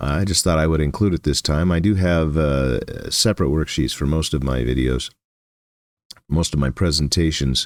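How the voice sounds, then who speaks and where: A man with a very deep, low pitch speaks at a moderate pace, with ordinary pitch variation and very even loudness. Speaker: electronics teacher. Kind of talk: lecture. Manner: halting with fillers.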